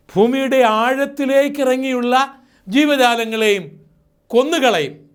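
A man's voice carries audible room echo. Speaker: preacher. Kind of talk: sermon.

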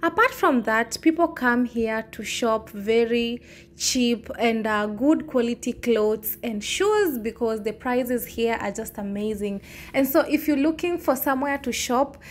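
Speaking at a fairly slow pace, a woman uses a high pitch with ordinary pitch variation. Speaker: travel vlogger. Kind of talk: casual vlog chat. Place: market. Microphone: phone near.

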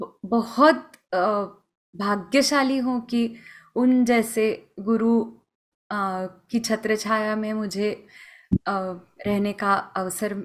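Against a quiet background, a woman speaks fairly high at a very slow pace, her intonation fairly even, with long, frequent pauses. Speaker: Hindustani classical vocalist; guest. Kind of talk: interview. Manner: halting, many fillers. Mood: warm, reflective. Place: home room. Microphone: video call.

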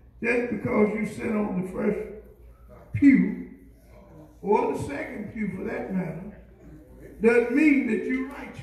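Speaking at a fairly slow pace with long, frequent pauses, a man with a high pitch swings greatly in loudness, and room echo is audible. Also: ordinary pitch variation. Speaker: pastor. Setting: church. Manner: repetitive, emphatic bursts with constant amens and yeahs; rousing, exhorting the congregation to respond. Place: church. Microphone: camera far.

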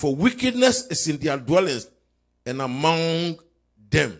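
A man at a very slow pace with very wide pitch swings, against a quiet background. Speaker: pastor leading online prayer. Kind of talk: fervent intercessory prayer, declaring and commanding. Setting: live stream prayer service. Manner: impassioned, rising and pounding, repeating phrases. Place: church. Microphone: handheld.

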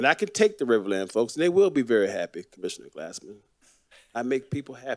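A man with an American accent speaks at a very fast pace with very wide pitch swings. The sound is dry, without echo. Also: quiet background. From Florida, Fort Lauderdale; Florida. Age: 60s. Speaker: city commissioner. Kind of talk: public meeting remarks. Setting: city commission meeting. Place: hall. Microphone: podium.

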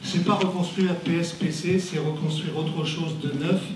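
With audible room echo and light background noise, a man speaks fairly slowly at a high pitch with fairly even intonation. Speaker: audience member. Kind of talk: public comment at a debate. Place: hall.

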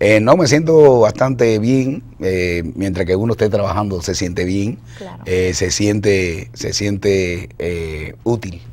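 At a very slow pace and with hardly any pauses, a man speaks in a fairly low pitch with very wide pitch swings. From Cuba. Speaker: cartoonist and artist; guest. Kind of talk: interview. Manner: halting, many fillers. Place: studio.

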